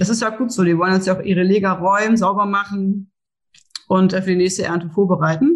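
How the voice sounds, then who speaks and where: This woman talks at a very fast pace. Her medium-pitched voice keeps a fairly even intonation. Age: 30s. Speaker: seed sales and grain buyer. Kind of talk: podcast interview.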